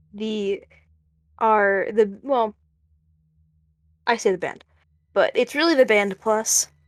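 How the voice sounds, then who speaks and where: Speaking at a very slow pace with long, frequent pauses, a woman uses a fairly high pitch and ordinary pitch variation, in a dry, close sound with no echo on a very clean recording with a silent background. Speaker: dungeon master. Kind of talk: tabletop role-play narration. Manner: halting.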